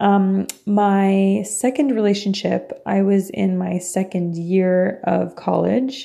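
A woman at a very slow pace, with a Franco-Ontarian accent. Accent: Franco-Ontarian Canadian English. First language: French. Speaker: podcast host. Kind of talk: personal monologue. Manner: casual with frequent fillers and laughs.

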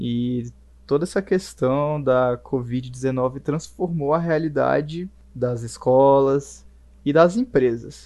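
Speaking at a very slow pace, a man has a fairly high pitch, a dark, mellow tone and ordinary pitch variation. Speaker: communications student. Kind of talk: casual chat.

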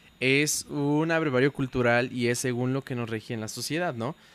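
A man talks at a fairly quick pace with a medium pitch and fairly even intonation. He has a normal speaking voice. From Puebla, Mexico. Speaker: podcast co-host. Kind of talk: casual chat.

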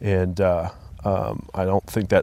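A man speaks fairly slowly with an American accent. His pitch is very deep and low. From Colorado. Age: 40s. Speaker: men's ministry group leader. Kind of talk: casual chat. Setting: outdoors.

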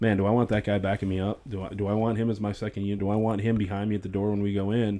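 Fairly low male voice with an American accent, fairly even intonation and a very fast pace. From US North. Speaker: former sheriff's deputy. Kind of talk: personal testimony in casual interview. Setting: studio.

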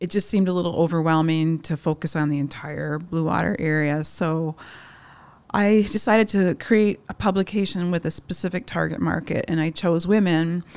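A woman has a normal speaking voice with an American accent, pitched fairly low with ordinary pitch variation. The recording is very clean, with a silent background. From Upper Peninsula of Michigan. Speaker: magazine publisher. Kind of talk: interview.

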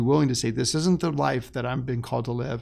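With an unremarkable speaking voice, a man talks at a medium pitch and keeps his intonation fairly even. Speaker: pastor. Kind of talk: podcast interview. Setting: studio.

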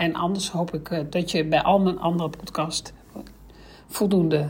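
The woman's fairly low voice shows ordinary pitch variation, with noticeable noise behind her. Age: 50s. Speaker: career coach. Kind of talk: solo podcast explainer.

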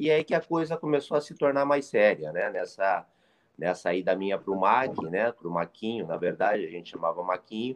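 A man's fairly low voice at a fairly quick pace, with very wide pitch swings. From interior of São Paulo state, Brazil. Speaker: retired footballer, player agent. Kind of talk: casual interview chat.

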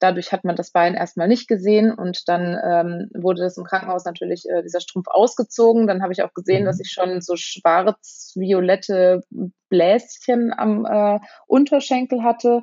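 A woman with a medium pitch talks at a moderate pace, her pitch varying in an ordinary way. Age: 30s. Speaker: patient sharing her illness story. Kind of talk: interview. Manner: hesitant with many fillers.

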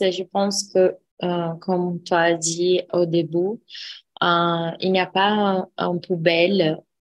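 A woman's fairly low voice at a very slow pace. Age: 30s. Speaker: architect. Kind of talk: casual discussion. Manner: halting.

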